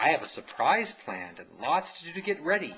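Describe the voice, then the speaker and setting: A man's put-on character voice, high in pitch and fairly quick in pace. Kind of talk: bedtime story. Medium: read story.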